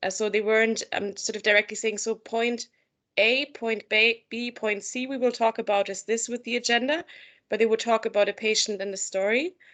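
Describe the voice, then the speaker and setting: A woman's fairly high, unremarkable speaking voice at a moderate pace, with fairly even intonation. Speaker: mental health supervisor. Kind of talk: interview.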